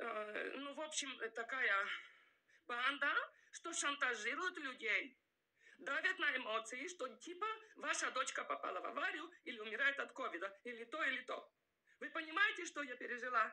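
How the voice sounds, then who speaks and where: A raised, projected voice with a non-native accent and a bright, sharp tone swings very widely in pitch, broken by long, frequent pauses. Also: woman, high pitch for a woman, moderate pace. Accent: foreign-tinged accent in Russian. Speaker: vlogger. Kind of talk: emotional self-defense monologue. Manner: halting, many fillers.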